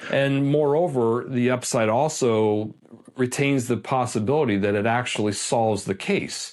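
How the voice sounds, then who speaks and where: Moderate pace, medium pitch and very even loudness from a man with an American accent and ordinary pitch variation. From US East Coast (Washington DC). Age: 60s. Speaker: independent crime investigator. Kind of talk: interview. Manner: hesitant, many fillers.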